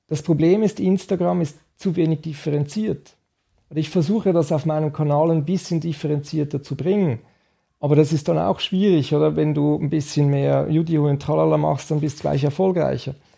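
A man with a fairly high pitch and a dark, mellow tone, somewhat breathy. He talks at a moderate pace with ordinary pitch variation over a quiet background. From Switzerland. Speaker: nutrition scientist; guest. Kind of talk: interview. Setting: nutrition institute office. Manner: halting. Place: studio. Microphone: studio mic.

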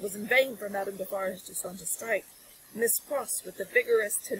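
Straightforward plain reading aloud

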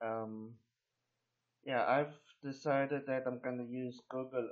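Against a quiet background, a man speaks at a very slow pace. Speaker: local video maker. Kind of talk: unscripted casual screen-recording narration. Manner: hesitant, rambling, frequent fillers.

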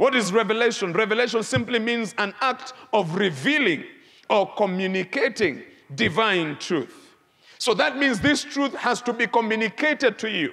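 A man shouts in a high pitch, his voice raised and projected. He keeps a moderate pace with lively intonation. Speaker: bishop. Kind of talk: emphatic church sermon, repeating key phrases like 'the truth must be revealed'. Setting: church before live congregation. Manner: rhythmic, repetitive preaching cadence with mounting intensity; prompts congregation to shout responses. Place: church. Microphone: lapel.

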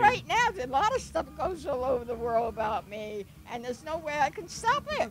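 Loud background noise, a woman's voice at a moderate pace, and dry sound with no echo. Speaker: motorcycle rider. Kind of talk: interview answer. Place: open country.

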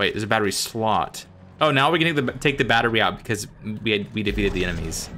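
With a bright, sharp tone and lively intonation, a man speaks at a very fast pace. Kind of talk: casual co-op gaming talk.

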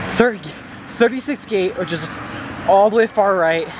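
A man with lively intonation at a fairly slow pace, dry sound with no echo, and loud background noise. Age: 30s. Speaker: motocross racer and vlogger; vlogger. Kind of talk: vlog.

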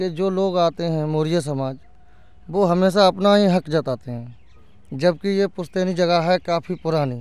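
A man's high-pitched voice at a very slow pace, with ordinary pitch variation and a dry sound with no echo. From Uttar Pradesh. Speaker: village resident; interviewee. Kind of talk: street interview. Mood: earnest, aggrieved complaint. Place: open country. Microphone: handheld.

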